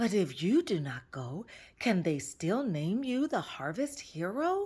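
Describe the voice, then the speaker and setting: In a very clean recording with a silent background, a put-on character voice at a middle pitch moves fairly slowly through very wide pitch swings. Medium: read story. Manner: boastful.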